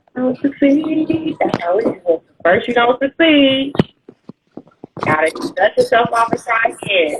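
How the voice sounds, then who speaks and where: A loud, animated woman's voice at a high pitch, fairly slow with long, frequent pauses and very wide pitch swings, over music in the background. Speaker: writing coach and livestream host. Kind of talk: casual interview.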